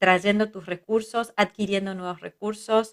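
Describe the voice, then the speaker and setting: This woman's voice sits at a medium pitch with fairly even intonation, and the sound is dry and close with no echo. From Israel, raised in a kibbutz by Argentine parents. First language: Hebrew (speaking Spanish). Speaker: psychologist, family constellations teacher. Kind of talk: interview conversation.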